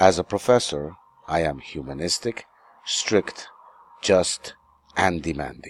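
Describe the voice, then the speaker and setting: A man with a very deep, low voice and vocal fry talks at a fairly slow pace, using ordinary pitch variation and long, frequent pauses. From New York City, US. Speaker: English teacher. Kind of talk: self-introduction lesson.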